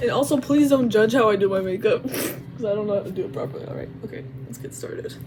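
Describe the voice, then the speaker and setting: Someone with an American accent talks at a very fast pace, with audible room echo and noticeable background noise. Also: woman. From United States. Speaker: vlogger. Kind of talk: casual vlog monologue. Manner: animated.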